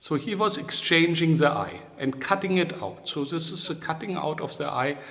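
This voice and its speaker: A man with a German accent talks at a moderate pace, his pitch high for a man. Noticeable background noise runs behind him. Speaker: psychodrama trainer. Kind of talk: interview. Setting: video call. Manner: halting.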